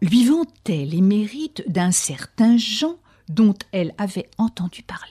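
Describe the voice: Lively intonation over plain reading aloud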